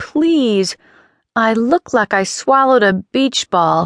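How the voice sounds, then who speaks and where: A put-on character voice speaks at a fairly slow pace against a quiet background. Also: female-sounding voice, fairly high pitch for a woman. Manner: grunting, complaining.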